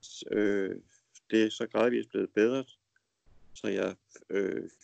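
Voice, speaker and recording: Very slow speech comes from a man in a dry, close sound with no echo. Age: 50s. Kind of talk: casual conversation. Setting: Skype call. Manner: hesitant, many fillers.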